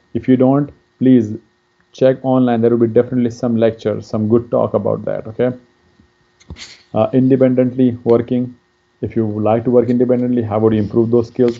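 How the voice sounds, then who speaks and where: In a Pakistani accent, the speaker uses monotone, flat intonation broken by long, frequent pauses. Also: man, medium pitch for a man. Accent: Pakistani (Pashtun) English. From Pakistan, Pashtun. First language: Pashto. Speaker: career counselor. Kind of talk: lecture. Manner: halting, many fillers.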